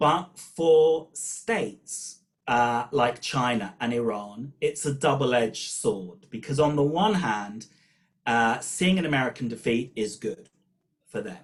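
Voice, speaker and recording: A man talks with a British accent. His intonation is lively. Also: medium pitch for a man, fairly slow pace. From Britain. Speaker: professor of political studies. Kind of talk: webinar talk.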